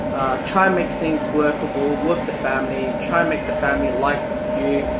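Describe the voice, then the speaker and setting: The speech moves at a moderate pace. Loud background noise runs underneath it. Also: man. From China. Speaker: vlogger giving relationship advice. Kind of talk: casual talk to camera. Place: train. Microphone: phone near.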